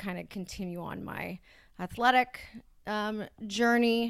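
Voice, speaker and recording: Using a normal speaking voice, a woman with a Canadian accent talks at a fairly slow pace with ordinary pitch variation. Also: very clean recording, silent background. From Ontario, Canada (Brampton). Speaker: addiction recovery worker. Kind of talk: personal testimony in interview.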